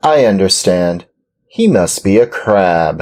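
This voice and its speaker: A man speaks in a put-on character voice. His pitch sits fairly low. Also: fairly slow pace. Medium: read story. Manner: greedy, relishing food.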